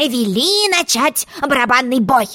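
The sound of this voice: In a put-on character voice, a woman speaks at a fairly slow pace with a high pitch, big pitch swings and a bright, sharp tone.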